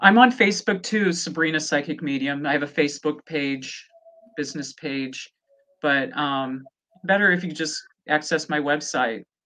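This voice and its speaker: Speaking with an American accent, a woman uses a very deep, low pitch and a bright, sharp tone. Her intonation is lively and her pace moderate. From US Midwest, rural Nebraska. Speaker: psychic medium. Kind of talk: casual interview.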